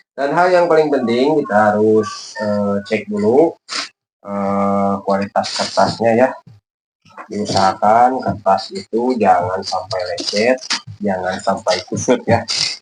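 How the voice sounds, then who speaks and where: Music plays in the background as a man speaks at a very slow pace. His intonation is lively. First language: Sundanese (speaking Indonesian). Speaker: kite-making YouTuber. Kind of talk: tutorial. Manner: halting, many filler pauses.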